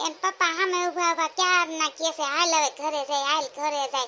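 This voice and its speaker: A woman performs a cartoonish character voice at an extremely high pitch. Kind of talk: comic cartoon voice. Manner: chatty, teasing, gossipy.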